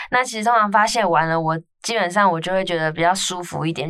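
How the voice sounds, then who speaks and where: With a plain, everyday voice, a woman speaks at a fairly low pitch and ordinary pitch variation. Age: 20s. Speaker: podcast host. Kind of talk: casual chat.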